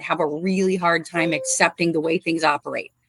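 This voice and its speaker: Her American accent comes with vocal fry and a fairly low pitch in monotone, flat intonation. The woman moves at a fairly quick pace, with a dry, close sound and no echo. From US Midwest, northwest Indiana. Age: 50s. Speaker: animal rescuer. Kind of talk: casual interview.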